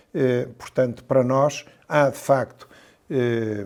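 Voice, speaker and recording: A man at a medium pitch, with ordinary pitch variation. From central Portugal (Pombal, Coimbra). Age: 60s. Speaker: mayor and physician. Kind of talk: interview. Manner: hesitant, many fillers and repeated words.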